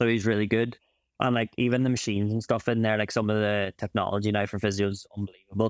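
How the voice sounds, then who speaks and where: In an Ulster accent, a man talks at a very fast pace with a fairly low pitch and a monotone, flat intonation, in a very clean recording with a silent background. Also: dry, close sound with no echo. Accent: Ulster Irish. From Ireland, County Donegal. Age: 20s. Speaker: champion Irish dancer and physiotherapist. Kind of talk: casual interview.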